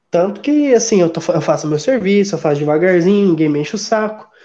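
A man is talking. His pace is fairly quick. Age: 20s. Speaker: geography student and streamer. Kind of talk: casual chat.

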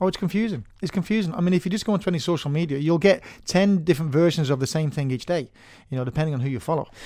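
In a very clean recording with a silent background, a man talks at a very fast pace. His tone is dark and mellow, his pitch fairly high with ordinary variation. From Manchester, northern England. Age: 40s. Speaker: personal trainer. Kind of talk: casual interview chat. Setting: studio.

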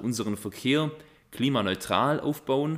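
A plain, everyday voice with ordinary pitch variation at a moderate pace, on a very clean recording with a silent background. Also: man. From Upper Swabia, Biberach district. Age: 20s. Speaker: party candidate. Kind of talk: self-introduction.

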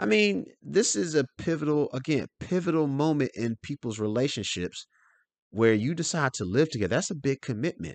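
Talking at a fairly quick pace, a man lets his pitch swing very widely. The background is quiet, and the sound is dry and close with no echo. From US South. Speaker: financial advisor. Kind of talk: solo podcast monologue.

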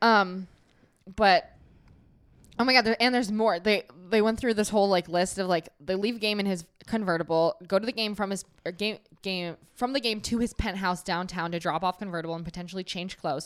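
An unremarkable speaking voice moves at a fairly quick pace, with big swings in loudness and ordinary pitch variation. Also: woman, medium pitch for a woman, very clean recording, silent background. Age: 20s. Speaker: podcast co-host. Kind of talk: casual chat.

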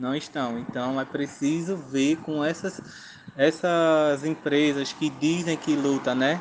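Fairly high for a man, this unremarkable speaking voice moves at a fairly slow pace with fairly even intonation. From Pernambuco, Zona da Mata Sul, Brazil. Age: 20s. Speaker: agroecology technician and research intern. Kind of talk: interview. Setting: remote call. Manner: casual, filler-heavy.

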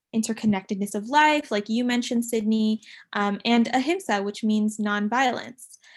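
A somewhat breathy woman's voice with an American accent, fairly even intonation and a fairly quick pace. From San Diego, California. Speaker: student podcast co-host. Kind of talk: casual chat.

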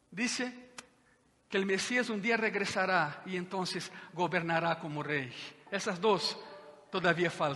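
A man speaks in a raised, projected voice with a bright, sharp tone. His pitch varies in an ordinary way. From Brazil, Minas Gerais (Juiz de Fora). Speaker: pastor. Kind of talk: sermon. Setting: church with congregation.

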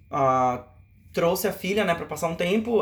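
A man speaks with a high voice for a man. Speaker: podcast host. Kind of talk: casual chat.

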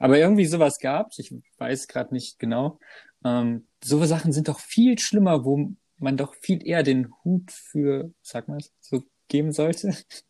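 A man's voice has a dark, mellow tone at a fairly high pitch. He speaks at a fairly slow pace with ordinary pitch variation. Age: 20s. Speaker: podcast co-host. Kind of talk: casual chat.

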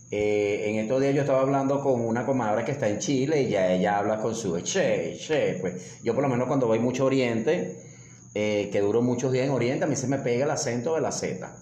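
Amid noticeable background noise and audible room echo, a man speaks at a fairly quick pace. His pitch is medium, with ordinary variation. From Venezuela. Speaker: motivational coach. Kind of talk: casual chat.

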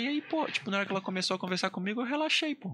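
A man's raised, projected voice, high in pitch and bright and sharp in tone, with very wide pitch swings. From Amazonas, Brazil (Maués area). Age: 30s. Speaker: singer, army doctor. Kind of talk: casual chat. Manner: animated.

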